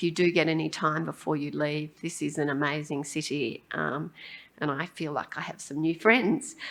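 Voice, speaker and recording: In an Australian accent, a woman speaks at a very deep, low pitch with vocal fry. Her moderate pace comes through in a very clean recording with a silent background. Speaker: pediatric endocrinologist and professor. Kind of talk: conference lecture. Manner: hesitant, many ums.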